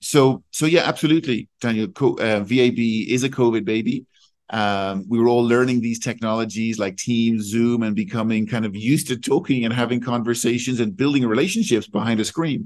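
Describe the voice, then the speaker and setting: Against a quiet background, a man talks at a fairly quick pace with hardly any pauses, in a medium pitch with ordinary pitch variation. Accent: Irish. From Ireland. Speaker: executive recruiter. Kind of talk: interview.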